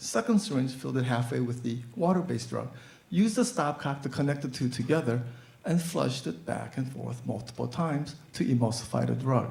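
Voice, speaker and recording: Speaking at a fairly quick pace with lively intonation, a man with an American accent shows vocal fry. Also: medium pitch for a man. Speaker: physician. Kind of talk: live storytelling performance.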